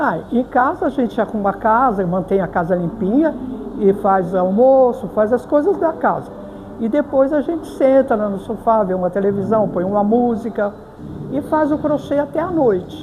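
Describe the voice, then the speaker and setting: Speaking at a moderate pace with a fairly high pitch, a woman is heard over noticeable background noise. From Brazil, Varginha, southern Minas Gerais. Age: 80s+. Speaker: crochet artisan. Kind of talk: interview.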